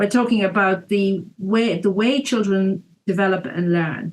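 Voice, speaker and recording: Her pitch varies in an ordinary way. The woman's voice sits at a medium pitch. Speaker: early years organisation CEO. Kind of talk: podcast interview. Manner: usually loud when speaking on topic; quieter than usual here.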